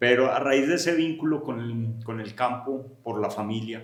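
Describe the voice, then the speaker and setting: In a paisa accent, a man talks at a moderate pace and a medium pitch. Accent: paisa (Medellín). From Colombia, Medellín (paisa). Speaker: agronomist and research center director. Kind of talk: podcast interview.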